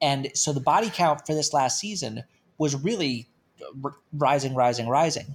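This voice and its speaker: A man talks at a moderate pace with long, frequent pauses. His pitch is fairly high, with ordinary pitch variation. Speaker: podcast host. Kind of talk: casual chat.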